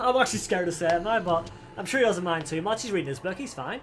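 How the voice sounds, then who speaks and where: Over noticeable background noise, a man talks with lively intonation. His pitch is high. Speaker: gaming YouTuber. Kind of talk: casual reaction commentary, reading lore aloud. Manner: casual, with swearing and false starts.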